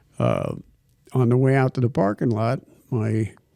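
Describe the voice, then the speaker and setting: At a moderate pace, a man speaks in a dark, mellow tone, the sound dry and close with no echo on a very clean recording with a silent background. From California (Los Angeles area), born in Ohio. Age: 80s+. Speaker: retired stuntman. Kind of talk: casual interview. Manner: halting.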